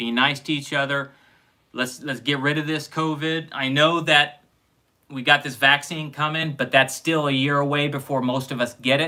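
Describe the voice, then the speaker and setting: In a Midwestern US accent, a man with a fairly high pitch and a bright, sharp tone speaks at a moderate pace in a monotone, flat intonation. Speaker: sci-fi show review host. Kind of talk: casual chat.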